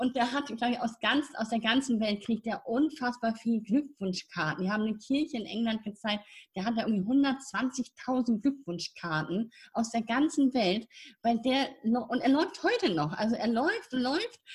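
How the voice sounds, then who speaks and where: Her pitch fairly high, a woman with a normal speaking voice talks at a moderate pace with lively intonation. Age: 50s. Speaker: spiritual mentor and nonprofit founder. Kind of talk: casual interview.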